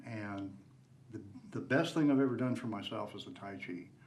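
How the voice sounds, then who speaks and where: The voice shows ordinary pitch variation, with audible room echo. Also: man. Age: 70s. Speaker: tai chi teacher, veteran. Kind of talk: personal introduction.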